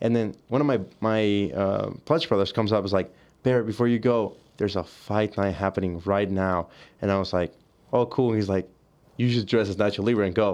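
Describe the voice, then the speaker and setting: In a Spanish accent, the speaker talks at a fairly quick pace with fairly even intonation and very even loudness over a quiet background. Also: man, fairly low pitch for a man. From Mexico, near the border; South Texas. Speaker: college student, diver. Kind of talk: casual chat. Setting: studio.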